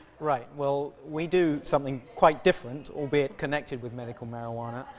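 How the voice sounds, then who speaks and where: A man speaks with a British accent. His pitch varies in an ordinary way. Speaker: pharmaceutical company executive. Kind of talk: TV business interview. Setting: stock exchange market site.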